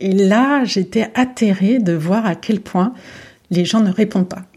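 Very slowly, a woman speaks at a medium pitch in a dark, mellow, somewhat breathy tone with ordinary pitch variation. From France, Paris region and Lyon. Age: 40s. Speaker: art gallery director. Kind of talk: interview. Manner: halting, frequent repetitions.

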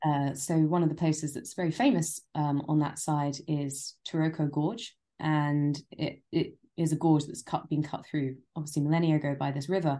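In a London accent, the voice has a dark, mellow tone and flat, monotone intonation against a quiet background. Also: woman, very deep, low pitch for a woman, moderate pace. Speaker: travel writer. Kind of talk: casual chat.

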